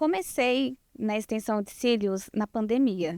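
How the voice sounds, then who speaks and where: Here a woman uses a plain, everyday voice, fairly high in pitch with ordinary pitch variation. The sound is dry and close with no echo, in a very clean recording over a silent background. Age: 20s. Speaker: lash designer. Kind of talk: podcast interview.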